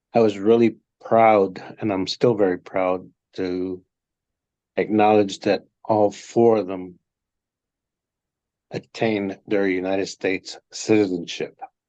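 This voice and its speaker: A man speaks in a fairly low pitch with a dark, mellow tone and monotone, flat intonation. His pace is fairly slow, with long, frequent pauses. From Texas, small town south of Austin. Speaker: entrepreneur, businessman. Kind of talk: interview.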